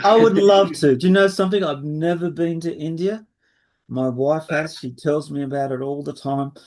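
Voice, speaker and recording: With an Australian accent, a man speaks at a moderate pace and fairly high pitch, his pitch varying in an ordinary way. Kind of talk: webinar talk and Q&A.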